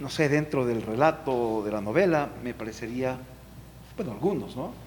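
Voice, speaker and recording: Moderate pace from a man at medium pitch, ordinary pitch variation, audible room echo. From Ecuador, Ambato. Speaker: artist. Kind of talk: panel discussion.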